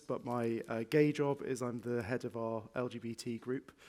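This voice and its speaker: A man speaks at a moderate pace with a slight northwest English accent, medium pitch, and fairly even intonation. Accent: slight northwest England. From northwest England. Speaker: transport innovation lead, panelist. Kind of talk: panel discussion.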